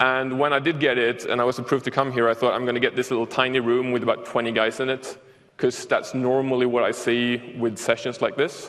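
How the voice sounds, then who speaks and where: A man with a Swedish accent speaks at a fairly quick pace in a medium pitch, his loudness very even and his intonation flat and monotone, over noticeable background noise. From Sweden. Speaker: software developer, conference speaker. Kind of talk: conference talk. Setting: stage with audience.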